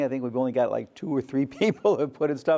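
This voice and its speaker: A man at a medium pitch and fairly quick pace, against a quiet background. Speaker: photography lecturer. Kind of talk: lecture. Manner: loud.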